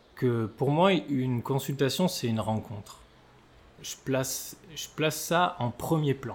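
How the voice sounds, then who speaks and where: This man talks at a very slow pace, his pitch fairly high with ordinary variation. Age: 30s. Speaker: osteopath. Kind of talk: casual interview. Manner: halting, many repetitions and fillers.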